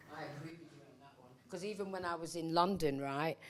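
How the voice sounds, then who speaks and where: A woman with a Mancunian accent speaks at a moderate pace in a fairly low voice, captured in a very clean recording with a silent background. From Manchester, England. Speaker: reggae singer on a discussion panel. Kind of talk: panel discussion.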